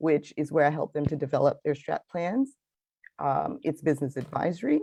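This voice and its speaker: The speaker has a slight Belizean accent and ordinary pitch variation. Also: woman, quiet background. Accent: slight Belizean Caribbean. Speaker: finance consultant. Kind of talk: interview. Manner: animated.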